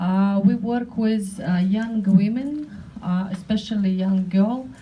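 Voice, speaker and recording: A woman speaks at a medium pitch with a non-native accent and a fairly even intonation. Her pace is very slow, and the room echo is audible. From North Caucasus. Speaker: women's rights activist. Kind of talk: panel speech. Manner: halting, many hesitations.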